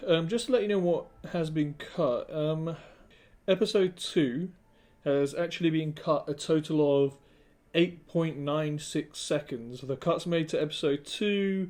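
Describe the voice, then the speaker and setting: A man with a British accent speaks at a fairly slow pace. His pitch is fairly high, with ordinary variation. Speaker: product reviewer. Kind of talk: product review. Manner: casual, with many fillers.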